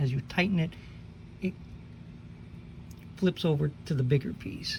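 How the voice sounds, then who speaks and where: A woman talks at a fairly slow pace in a very deep, low pitch with a dark, mellow tone and vocal fry. Her pitch varies in an ordinary way. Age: 60s. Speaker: car hobbyist video maker. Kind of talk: tutorial. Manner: casual, conversational.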